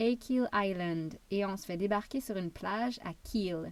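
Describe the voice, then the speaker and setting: A woman with a Quebec accent speaks at a very slow pace and a medium pitch. Her tone is calm, and her intonation is lively. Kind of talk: travel memoir narration. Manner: calm, relaxing.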